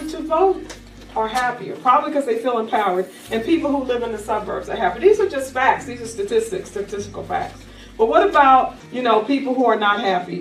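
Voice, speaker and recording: A woman's high, animated voice with very wide pitch swings and big swings in loudness, at a fairly quick pace over noticeable background noise. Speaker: life coach. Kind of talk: workshop presentation to live audience.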